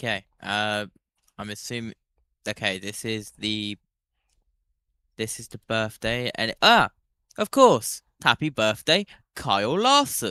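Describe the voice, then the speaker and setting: In a British accent, a man speaks at a very slow pace with long, frequent pauses, a bright, sharp tone, fairly even intonation and big swings in loudness, the sound dry and close with no echo. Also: medium pitch for a man, very clean recording, silent background. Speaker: sports watchalong co-host. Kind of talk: live sports watchalong chat.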